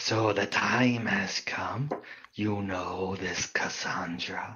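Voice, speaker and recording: A man puts on a character voice with a fairly low pitch. He speaks at a very slow pace. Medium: actual play. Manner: solemn, terse.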